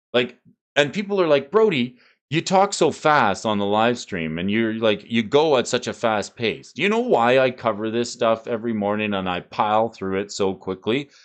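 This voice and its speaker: At a moderate pace, a man talks in an animated tone. His medium-pitched voice carries lively intonation. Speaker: trading card game market streamer. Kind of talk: live stream market commentary. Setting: live stream.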